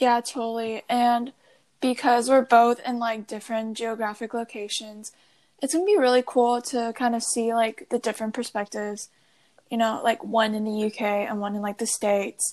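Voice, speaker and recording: A woman with an unremarkable speaking voice, fairly high in pitch, talks at a moderate pace with fairly even intonation. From US (moved from Taiwan around age 10). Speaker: podcast co-host, college student. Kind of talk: casual chat. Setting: remote call.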